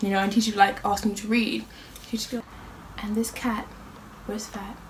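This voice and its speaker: Amid noticeable background noise, a woman talks at a fairly quick pace with fairly high pitch, big swings in loudness and long, frequent pauses. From Ireland. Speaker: youtuber. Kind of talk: casual chat. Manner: animated.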